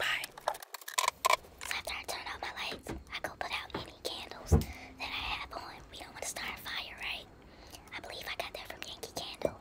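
A woman whispers at a moderate pace. She leaves long, frequent pauses. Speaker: lifestyle vlogger. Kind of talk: ASMR bedtime routine talk. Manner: whispery, soft-spoken.

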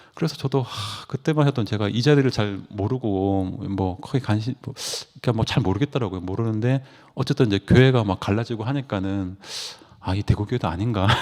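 The recording is very clean, with a silent background. A man speaks fairly quickly at a fairly low pitch, with ordinary pitch variation. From Gangwon Province, South Korea (Taebaek). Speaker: church member giving testimony. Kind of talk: testimony. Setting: church meeting. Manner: halting, many fillers.

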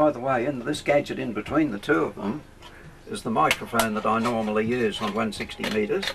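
Against noticeable background noise, a man talks at a very fast pace in an Australian accent. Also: ordinary pitch variation. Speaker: ham radio operator. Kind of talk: explaining equipment to camera. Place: workshop. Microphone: old recording.

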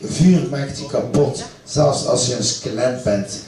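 A man with a fairly high pitch speaks very slowly, with audible room echo and light background noise. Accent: Ghent. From Ghent, Belgium. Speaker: poet. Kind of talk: live poetry reading. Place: stage. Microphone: camera far.

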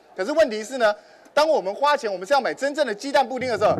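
A man talks at a very fast pace in a high pitch with ordinary pitch variation, over light background noise. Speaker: guest. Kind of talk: talk show explanation to audience. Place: stage.

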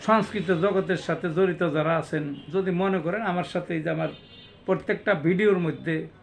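With music in the background, a man talks in a high voice. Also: fairly even intonation. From Bangladesh, Manikganj. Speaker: poet and homeopathic doctor. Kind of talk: self-introduction monologue.

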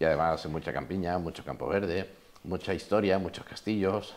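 A man speaks at a moderate pace in a very deep, low pitch. Vocal fry runs through his voice. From Spain. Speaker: interviewer. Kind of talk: interview. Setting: falla clubhouse. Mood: friendly, warm. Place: hall. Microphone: lapel.

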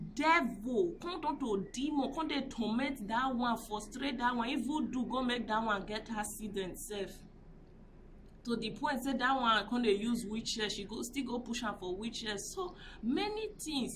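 The speech shows ordinary variation in pitch, with noticeable background noise present. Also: woman. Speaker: vlogger. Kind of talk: casual vlog commentary. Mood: indignant, moralizing. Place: street. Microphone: phone near.

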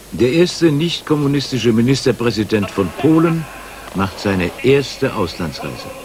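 A man's medium-pitched voice with very wide pitch swings, at a moderate pace, over noticeable background noise. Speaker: news review narrator. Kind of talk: scripted news-review narration, 1989 TV retrospective. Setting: studio voice-over. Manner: clipped, dry, sardonic, punchy staccato.

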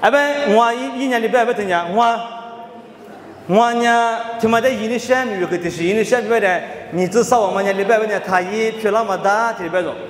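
A man's high-pitched voice with fairly even intonation, audible room echo and light background noise. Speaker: Bible teacher. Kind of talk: Bible study teaching. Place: hall. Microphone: handheld.

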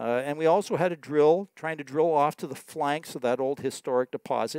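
A man with a fairly high pitch speaks at a very fast pace, the sound dry with no echo over a quiet background. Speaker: exploration geologist. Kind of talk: presentation. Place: hall. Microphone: podium.

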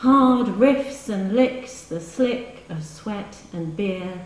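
With lively intonation and a playful, warm tone, a woman speaks amid audible room echo. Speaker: poet reading her work. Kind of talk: poem reading, intimate live reading with brief chatty introductions between poems. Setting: live reading in a hall with audience. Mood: wry, rhythmic delivery. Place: hall. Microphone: camera far.

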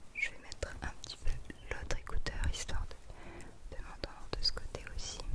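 Whispering comes from a woman. She keeps a moderate pace. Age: 20s. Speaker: ASMR creator. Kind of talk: ASMR personal attention. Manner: whispered, soft-spoken. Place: home room. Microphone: studio mic.

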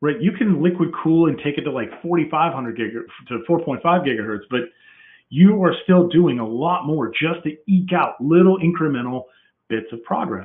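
Here a man with a fairly high pitch uses a normal speaking voice with lively intonation. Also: moderate pace. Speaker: technology presenter. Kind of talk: technical presentation with live demo. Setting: online webcast.

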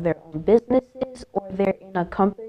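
In a Miami accent, a woman speaks at a moderate pace. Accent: Miami American English, Haitian heritage. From Miami, Florida. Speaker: technical college staff member. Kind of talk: interview. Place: studio. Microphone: lapel.

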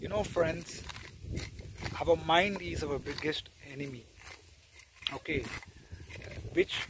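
A man talks with ordinary pitch variation, the sound dry with no echo, amid noticeable background noise. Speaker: vlogger. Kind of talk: casual vlog chat. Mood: reflective, calm. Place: farm. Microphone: phone near.

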